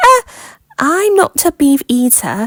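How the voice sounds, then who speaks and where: A woman puts on a squeaky, high-pitched character voice with very wide pitch swings. The sound is dry and close, with no echo. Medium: read story. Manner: polite, earnest.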